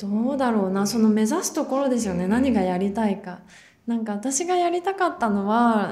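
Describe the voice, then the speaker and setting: A woman with a somewhat breathy, dark, mellow voice and a fairly high pitch speaks at a moderate pace with lively intonation, with audible room echo. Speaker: actor. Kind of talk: casual interview.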